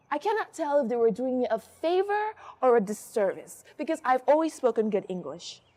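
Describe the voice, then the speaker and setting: A woman with an American accent speaks in a high pitch, with very wide pitch swings. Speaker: spoken word poet. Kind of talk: spoken word performance.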